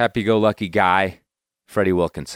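Relaxed in tone, a man speaks at a moderate pace and fairly low pitch with ordinary pitch variation, recorded very cleanly with a silent background and a dry, close sound with no echo. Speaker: podcast host. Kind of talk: casual podcast intro. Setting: recording in the morning. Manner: relaxed, conversational.

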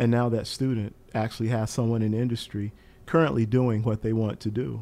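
Monotone, flat intonation marks this dark, mellow voice with an American accent. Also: man. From US South, eastern North Carolina. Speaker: professor of aviation safety and accident investigation. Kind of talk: interview.

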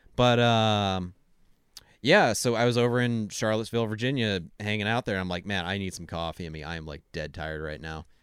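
In a normal speaking voice, a man talks at a fairly quick pace with a fairly low pitch and ordinary pitch variation. His loudness swings widely, and the recording is very clean with a silent background. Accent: American. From US Pacific Northwest. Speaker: podcast guest. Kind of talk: casual chat.

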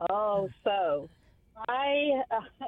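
Lively intonation marks this woman's speech in a southern English accent. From southeast England, Kent. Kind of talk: casual interview chat.

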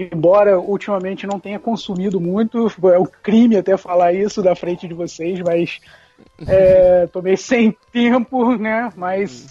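Over music in the background, a man with a high pitch talks at a fairly slow pace with fairly even intonation, the sound dry and close with no echo. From Brazil, interior of Rio de Janeiro state. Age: 30s. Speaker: podcaster. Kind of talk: casual chat.

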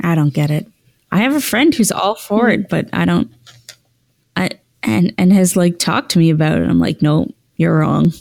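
A woman's fairly low voice with very wide pitch swings, vocal fry, a moderate pace and long, frequent pauses. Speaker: podcast host. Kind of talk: casual chat.

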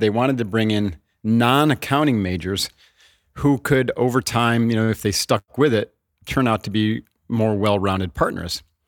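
A man with an American accent talks at a moderate pace in an unremarkable speaking voice, medium in pitch with ordinary variation and very even loudness. The recording is very clean with a silent background, and the sound is dry and close with no echo. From upstate New York. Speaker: retired Navy SEAL commander and author. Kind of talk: interview. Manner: laughs often.

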